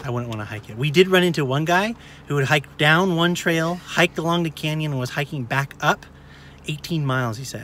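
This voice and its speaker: The pace is fairly quick, with ordinary pitch variation. The tone is bright and sharp, the sound dry with no echo, over light background noise. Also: man. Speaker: family vlogger. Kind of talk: casual vlog chat. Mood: cheerful, upbeat. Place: car. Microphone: phone near.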